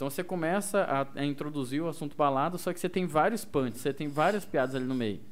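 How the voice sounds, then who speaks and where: Very fast, with hardly any pauses, a man speaks in a fairly high pitch. His pitch varies in an ordinary way. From Mato Grosso do Sul, near Corumbá (Ladário). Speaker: radio host and stand-up comedian. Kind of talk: casual chat.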